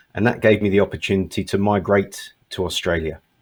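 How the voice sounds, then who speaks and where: A man with a British accent speaks at a moderate pace in a fairly low pitch. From England. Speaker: test company regional manager. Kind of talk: online panel discussion.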